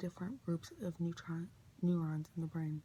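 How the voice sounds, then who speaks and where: A soft-spoken man with a high pitch, dark, mellow tone, fairly slow pace and fairly even intonation. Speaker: ASMR creator. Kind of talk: ASMR book reading.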